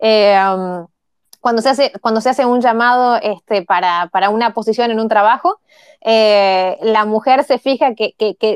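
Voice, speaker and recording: A woman with a Uruguayan accent speaks at a moderate pace in a fairly high pitch with ordinary pitch variation. The sound is dry and close with no echo. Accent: Uruguayan Rioplatense Spanish. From Uruguay, Montevideo. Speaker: tech entrepreneur, engineer. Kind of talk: interview conversation.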